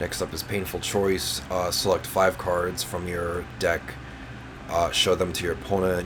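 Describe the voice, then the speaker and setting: A man's very deep, low voice in a monotone, flat delivery, with music in the background. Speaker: gaming youtuber. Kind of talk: tutorial. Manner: halting, many fillers and repeats.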